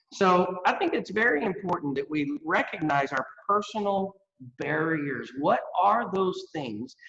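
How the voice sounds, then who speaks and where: A man speaks with a Texas accent. His pitch is high and his pace fairly slow. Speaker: workforce education expert. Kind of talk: interview.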